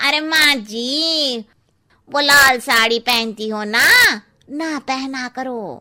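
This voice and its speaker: A woman uses a cartoonish character voice with a high pitch. She speaks at a very slow pace. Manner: frank, tactless.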